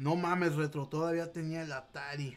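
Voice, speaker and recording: A man speaks with a Mexican accent. His intonation is fairly even. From Mexico. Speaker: gaming streamer. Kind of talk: casual livestream chat. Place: home room. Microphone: webcam.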